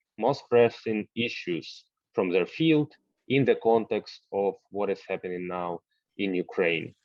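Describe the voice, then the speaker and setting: A plain, everyday voice with lively intonation comes through in a dry, close sound with no echo. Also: man, fairly low pitch for a man, quiet background. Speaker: university rector, lecture host. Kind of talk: online lecture moderation.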